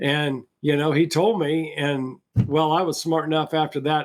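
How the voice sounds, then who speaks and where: A man's fairly high voice at a moderate pace. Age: 60s. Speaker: trapper and trapping products seller. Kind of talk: casual interview chat. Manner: halting, repeats words.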